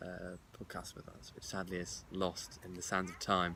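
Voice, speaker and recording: This man's pitch is very deep and low. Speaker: podcast host. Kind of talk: casual chat. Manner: stutters.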